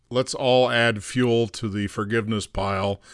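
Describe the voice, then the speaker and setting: Using an unremarkable speaking voice, a man talks at a fairly slow pace with a fairly low pitch and fairly even intonation. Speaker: podcast host. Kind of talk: interview conversation.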